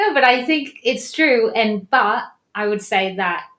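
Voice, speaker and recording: A woman speaks with an American accent at a fairly slow pace. Her tone is bright and sharp. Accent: English, with a slight something else. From Colombia and US, then England from 17. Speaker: yoga teacher. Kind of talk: interview.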